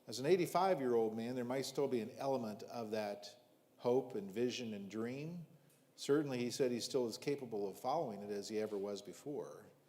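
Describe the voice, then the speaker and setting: Here a man speaks at a fairly quick pace and medium pitch, with ordinary pitch variation. The room echo is audible. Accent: American. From US Midwest, rural southern Ohio. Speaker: visiting preacher. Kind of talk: sermon.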